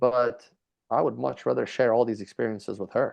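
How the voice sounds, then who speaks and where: At a moderate pace, a man talks with a Hungarian accent. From Hungary. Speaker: BMX rider and reality TV contestant. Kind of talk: interview.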